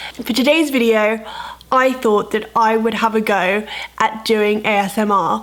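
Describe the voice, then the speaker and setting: A woman talks at a fairly slow pace with fairly even intonation. She has a plain, everyday voice at a fairly high pitch. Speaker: lifestyle and health vlogger. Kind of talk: vlog intro then ASMR attempt.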